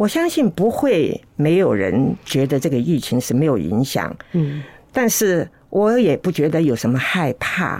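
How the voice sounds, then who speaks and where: A woman speaks at a fairly slow pace with a very deep, low pitch, vocal fry, and very wide pitch swings. Her loudness stays very even. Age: 80s+. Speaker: host's elderly mother, interview guest. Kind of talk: casual chat.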